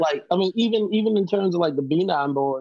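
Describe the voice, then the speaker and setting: This man talks at a moderate pace with a Baltimore accent. His pitch varies in an ordinary way. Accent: Baltimore, US East Coast. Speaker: hardcore band vocalist. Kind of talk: casual interview chat. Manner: animated, profane.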